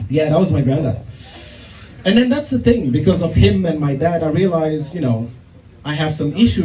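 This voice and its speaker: Over noticeable background noise and audible room echo, a man with a fairly high pitch talks at a moderate pace, his pitch swinging very widely. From Germany. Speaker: stand-up comedian. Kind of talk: stand-up. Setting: stage with audience.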